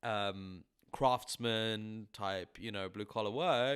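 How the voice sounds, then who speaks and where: A man with an English accent. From England. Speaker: musician. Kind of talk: casual chat.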